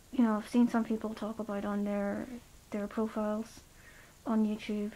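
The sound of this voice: A woman speaks at a medium pitch with little pitch movement. Her tone is dark and mellow, and her pace is fairly slow.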